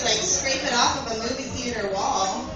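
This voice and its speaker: A woman is speaking, with audible room echo. Noticeable background noise is present. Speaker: stand-up comedian. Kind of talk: stand-up comedy routine. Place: bar. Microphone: camera far.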